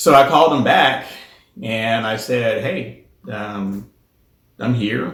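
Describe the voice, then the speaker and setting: Speaking in a Southern US accent, a man has a medium-pitched voice. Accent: Southern drawl. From US South. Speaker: spiritual center president. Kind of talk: personal testimony monologue. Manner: hesitant, many fillers.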